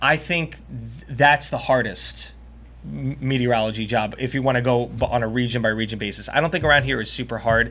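A bright, sharp tone with an American accent and vocal fry, at a fairly quick pace with ordinary pitch variation. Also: man, medium pitch for a man. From Long Island, New York (South Shore). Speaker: TV meteorologist. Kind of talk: casual chat.

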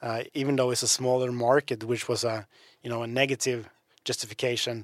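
A man with a Norwegian accent, medium in pitch, in a dry, close sound with no echo. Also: very clean recording, silent background. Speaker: podcast co-host. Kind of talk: casual chat.

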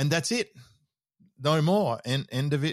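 On a very clean recording with a silent background and a dry, close sound with no echo, a man with an Australian accent speaks with ordinary pitch variation. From Australia (Sydney). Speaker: business mentor. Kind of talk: interview conversation.

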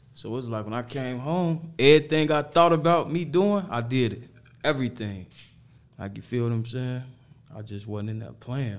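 A man of medium pitch talks at a moderate pace with lively intonation and big swings in loudness. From Harvey, Illinois (Chicago south suburbs). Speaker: rapper. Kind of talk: casual interview.

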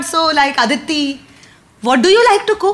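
Amid noticeable background noise, a woman with an Indian accent speaks at a moderate pace with very wide pitch swings. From India, Mumbai. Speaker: comedian. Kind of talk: casual chat before live audience. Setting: comedy club with live audience.

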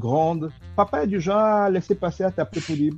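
Music plays in the background. A man talks at a fairly quick pace over it. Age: 40s. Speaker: entrepreneur and sales expert. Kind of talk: interview.

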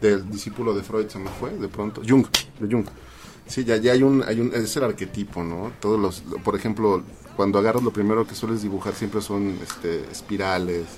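A man's fairly low voice with a Mexican accent, at a moderate pace and with fairly even intonation, amid noticeable background noise. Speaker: video editor, UFO enthusiast. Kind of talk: casual chat.

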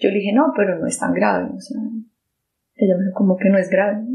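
The woman's voice sits at a medium pitch. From Colombia. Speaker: survivor sharing personal testimony. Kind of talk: testimony. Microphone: poor sound quality.

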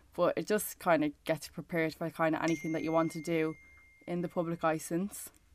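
On a very clean recording with a silent background, a woman with an Irish accent speaks fairly quickly at a fairly low pitch in a monotone, flat delivery. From Ireland. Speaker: reality TV contestant. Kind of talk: casual chat.

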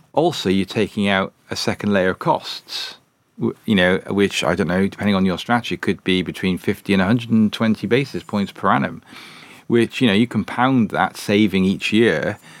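A Welsh accent at a moderate pace with ordinary pitch variation and very even loudness, in a dry, close sound with no echo and a very clean recording with a silent background. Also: man, fairly low pitch for a man. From Wales. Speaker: fund manager. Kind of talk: professional interview discussion. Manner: hesitant, filler-heavy.

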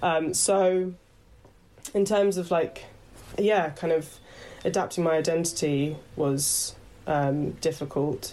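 A woman with a southern English accent speaks at a very slow pace, leaving long, frequent pauses. Her fairly low, dark, mellow voice holds very even loudness and fairly even intonation. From west London, then Horsham (Sussex). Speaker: actor and headshot photographer. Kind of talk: casual interview chat. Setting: video call.

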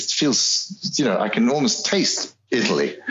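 Over noticeable background noise, a man with a fairly high pitch speaks at a moderate pace with very wide pitch swings. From South Africa, English parents. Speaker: voice actor. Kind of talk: interview. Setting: remote call.

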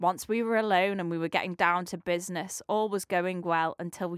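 This is reading aloud in a natural voice. The intonation stays fairly even.

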